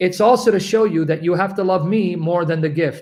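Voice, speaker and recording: Animated and fairly quick, a man talks at a high pitch with ordinary pitch variation. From Syria / Assyrian heritage. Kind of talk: religious Q&A call.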